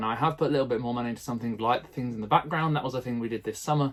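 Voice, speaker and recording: A man speaks with a British accent at a very fast pace. His intonation stays fairly even. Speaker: primary school teacher and vlogger. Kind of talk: casual vlog tutorial. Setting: garden shed.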